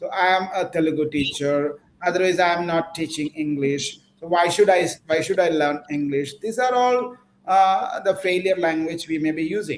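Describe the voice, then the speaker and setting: A high-pitched man's voice with a Keralan accent. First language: Malayalam. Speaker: English teacher. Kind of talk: online class lecture.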